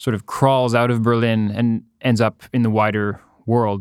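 A man with a Canadian accent in an ordinary speaking voice, medium pitch, moderate pace and fairly even intonation, in a very clean recording with a silent background. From Ottawa, Canada. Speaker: painter. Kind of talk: casual interview.

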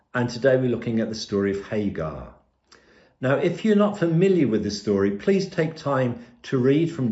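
This man's voice is somewhat breathy. His pitch is medium. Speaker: preacher. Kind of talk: sermon. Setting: pre-recorded video.

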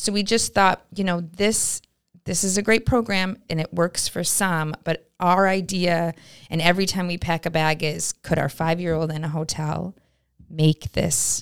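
Recorded dry and close with no echo, a woman with an American accent talks at a moderate pace with fairly even intonation. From upstate New York, Glens Falls. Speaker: nonprofit director. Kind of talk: casual interview. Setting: studio.

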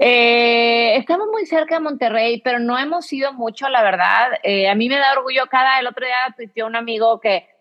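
At a fairly quick pace, a woman with a fairly high pitch and an unremarkable speaking voice talks with ordinary pitch variation. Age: 40s. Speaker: real estate investor. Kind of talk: casual interview.

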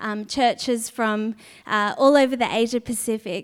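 A woman with a high pitch speaks fairly slowly, her intonation fairly even. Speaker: preacher. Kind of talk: sermon. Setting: church conference with audience.

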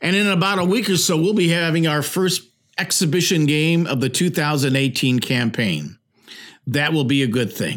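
A man with an Ohio accent, fairly high pitch, ordinary pitch variation, very even loudness and a moderate pace, in a very clean recording with a silent background. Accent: Midwestern American (Ohio). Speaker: sports podcast host. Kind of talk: solo sports commentary monologue.

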